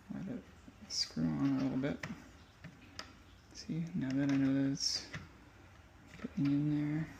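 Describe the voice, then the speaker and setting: Somewhat breathy, a man speaks at a fairly slow pace with long, frequent pauses. His fairly high voice has a dark, mellow tone and ordinary pitch variation. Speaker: guitar tech. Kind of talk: tutorial. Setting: workshop, first-person camera glasses. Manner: casual, occasional stutter.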